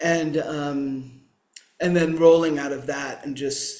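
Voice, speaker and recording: A man's voice comes with audible room echo. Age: 60s. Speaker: meditation teacher and activist. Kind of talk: interview. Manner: halting.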